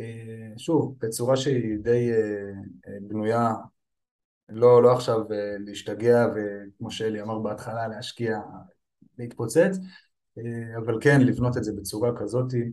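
A man with a dark, mellow tone speaks at a fairly slow pace and medium pitch, using fairly even intonation. Long, frequent pauses break it up, and his loudness swings widely. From Israel, Petah Tikva. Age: 30s. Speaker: firefighter and online seller. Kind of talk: interview.

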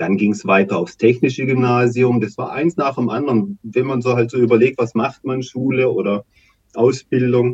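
Somewhat breathy, a man at medium pitch is heard with a dry, close sound with no echo. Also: ordinary pitch variation, moderate pace. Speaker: activist and local election candidate. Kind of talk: interview. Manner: halting.

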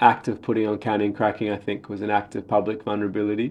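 A man with an Australian accent talks at a very fast pace. His pitch is fairly low, and the background is quiet. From Sydney, Australia (born Sri Lanka). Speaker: playwright and theatre director. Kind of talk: interview.

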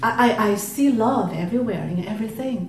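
With a Chinese accent and ordinary pitch variation, the voice comes through noticeable background noise. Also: woman. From China. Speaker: audience member. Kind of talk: question to teacher.

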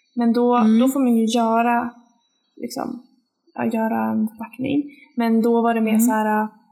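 A woman's fairly high, dark, mellow voice with monotone, flat intonation, at a moderate pace with long, frequent pauses. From Sweden, Linköping. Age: 20s. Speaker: podcast co-host, exchange student. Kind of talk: casual chat.

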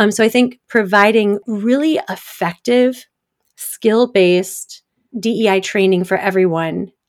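A woman with an American accent speaks in an ordinary speaking voice, at medium pitch with ordinary pitch variation. Her loudness stays very even, and her pace is fairly slow. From US Midwest, Detroit suburbs, Michigan. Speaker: diversity consultant and author. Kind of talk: interview.

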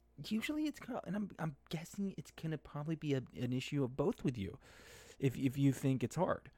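A man with a fairly high pitch talks at a fairly quick pace, his dark, mellow tone somewhat breathy and his intonation lively. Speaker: gaming podcast host and streamer. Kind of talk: casual solo commentary livestream. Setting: live stream.

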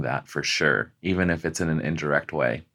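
Over a very clean recording with a silent background, a man with an American accent speaks at a moderate pace in a very deep, low pitch with vocal fry. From Las Vegas, Nevada. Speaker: artist. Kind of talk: casual chat.

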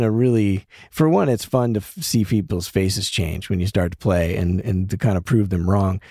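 In a plain, everyday voice, a man with an American accent speaks at a moderate pace and a fairly low pitch, with lively intonation and hardly any pauses, on a very clean recording with a silent background. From US, Denver. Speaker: podcast host and musician. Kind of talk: casual interview chat.

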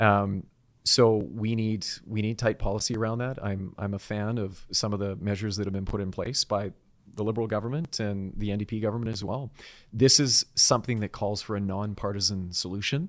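In a very clean recording with a silent background, a man with a Canadian accent talks at a fairly quick pace in an unremarkable speaking voice, fairly low in pitch, with fairly even intonation. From British Columbia, Canada. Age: 40s. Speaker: political candidate. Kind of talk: interview.

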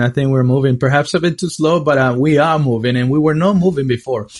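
This man has a plain, everyday voice at a fairly high pitch. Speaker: podcast host and interviewer. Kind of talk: casual interview.

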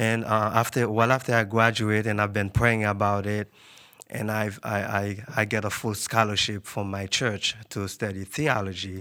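A man talks at a moderate pace in a fairly low pitch, with a monotone, flat intonation. His tone is bright and sharp. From Haiti. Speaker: graduate student. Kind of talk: interview. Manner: halting.

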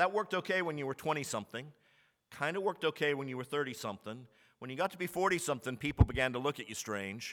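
Very fast and lively, a man with an American accent talks at a fairly high pitch. The recording is very clean, the background silent. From Texas, Commerce. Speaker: pastor. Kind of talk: sermon.

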